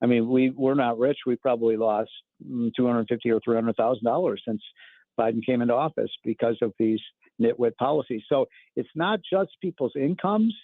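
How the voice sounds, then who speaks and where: An ordinary speaking voice from a man, medium in pitch, at a fairly quick pace with ordinary pitch variation. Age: 60s. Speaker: economic commentator. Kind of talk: radio interview.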